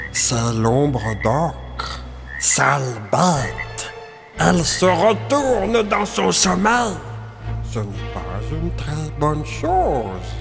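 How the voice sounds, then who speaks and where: In a put-on character voice, the speaker sounds shaky and talks very slowly over clear background music. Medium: read story. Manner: hushed.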